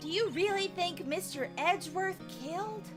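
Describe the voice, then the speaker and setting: Over loud background music, a woman uses a put-on character voice. She speaks high-pitched at a moderate pace. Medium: game stream. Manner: earnest.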